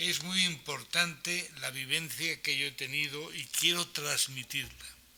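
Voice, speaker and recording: A man speaks at a fairly slow pace with a fairly high pitch and fairly even intonation. Noticeable background noise runs underneath. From Spain, Alicante province (Aspe, Elche). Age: 60s. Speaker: person living with Alzheimer's, speaker at awareness event. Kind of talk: reading aloud a prepared personal testimony. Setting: conference hall with audience.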